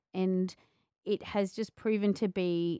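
Speaking at a fairly slow pace with an Australian accent, a woman holds a medium pitch in a very clean, dry, close recording with no echo and a silent background. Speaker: podcast host and author. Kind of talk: casual interview chat. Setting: radio station.

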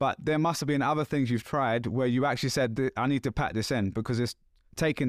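A man's medium-pitched voice with a London accent, very fast and fairly even in intonation, dry and close with no echo, on a very clean recording with a silent background. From London, England. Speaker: podcast host. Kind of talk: casual chat.

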